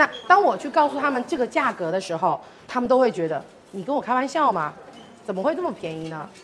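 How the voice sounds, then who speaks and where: A woman's high, very fast speech with very wide pitch swings and long, frequent pauses over noticeable background noise. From Taiwan. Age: 40s. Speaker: wine brand marketing director. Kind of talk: wine tasting presentation. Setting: live event with audience.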